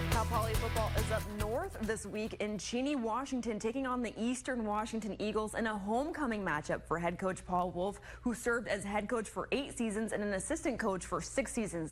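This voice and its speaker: A woman's ordinary speaking voice, fairly high in pitch, fairly quick and very even in loudness, with hardly any pauses. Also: ordinary pitch variation. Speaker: multimedia journalist. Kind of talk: sports news anchor read.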